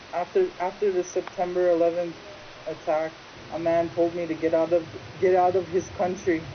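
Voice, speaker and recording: Noticeable background noise sits behind a monotone, flat delivery at a moderate pace with a Great Lakes accent. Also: woman, fairly low pitch for a woman. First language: Ojibwe. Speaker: interviewee. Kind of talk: interview testimony.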